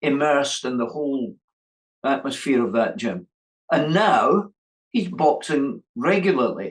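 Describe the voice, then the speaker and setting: Speaking with a Scottish accent, a man uses lively intonation at a fairly slow pace. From Scotland. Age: 70s. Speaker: boxing coach. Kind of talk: interview answer.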